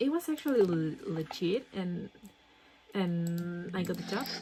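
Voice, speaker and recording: Against noticeable background noise, a woman with a Spanish accent speaks at a fairly slow pace in a medium pitch with very wide pitch swings. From Dominican Republic. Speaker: vlogger. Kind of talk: casual storytelling while gaming. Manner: halting, many fillers and repeats.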